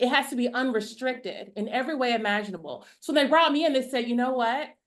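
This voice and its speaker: A woman talks loudly in a high pitch at a fairly quick pace. Her pitch varies in an ordinary way. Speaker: artist. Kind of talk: panel discussion.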